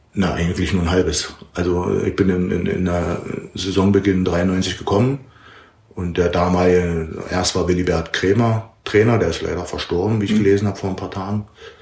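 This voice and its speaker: Against noticeable background noise, a man with a very deep, low pitch talks at a moderate pace with fairly even intonation. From eastern Germany, Halle (Saale). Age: 50s. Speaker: football coach, former pro footballer. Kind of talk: casual interview. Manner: hesitant, with fillers and repetitions.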